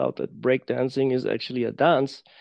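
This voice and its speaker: A man talks at a medium pitch in a flat monotone with a German accent. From Germany. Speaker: embodiment teacher. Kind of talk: casual interview chat. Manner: halting, searching for words.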